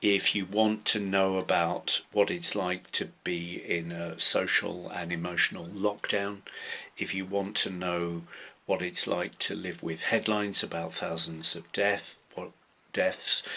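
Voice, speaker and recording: A man with a British accent speaks in a very deep, low pitch at a fairly slow pace. His tone is bright and sharp, his intonation monotone and flat. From UK. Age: 60s. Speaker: author and theatre director. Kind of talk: pre-recorded personal talk. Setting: home workspace.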